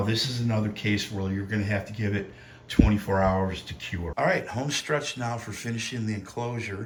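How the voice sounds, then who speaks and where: Spoken at a moderate pace with ordinary pitch variation, this voice comes through over noticeable background noise. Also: man. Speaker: home haunt builder. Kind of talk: DIY tutorial narration.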